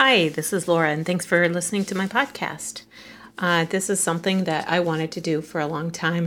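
Speaking at a moderate pace, a woman uses a fairly low pitch with ordinary pitch variation. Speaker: podcast host, sewing hobbyist and homeschooling mom. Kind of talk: casual solo monologue. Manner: informal, with frequent fillers and restarts.

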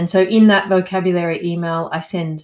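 A woman with an Australian accent, fairly low in pitch, her intonation fairly even. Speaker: landscape architect and English coach. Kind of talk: interview.

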